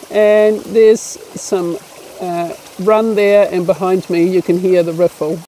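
The voice moves at a fairly slow pace. The sound is dry with no echo, under light background noise. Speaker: science educator. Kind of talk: tutorial. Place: waterside. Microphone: phone near.

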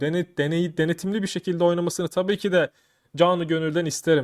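The animated tone comes through on a very clean recording with a silent background and a dry, close sound with no echo. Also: man. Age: 30s. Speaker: YouTuber. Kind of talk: casual vlog commentary.

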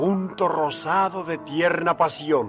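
A very slow pace over clear background music, with a dry sound and no echo. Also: man. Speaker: radio announcer. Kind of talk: poetry reading on radio. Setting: old radio broadcast. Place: studio. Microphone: old recording.

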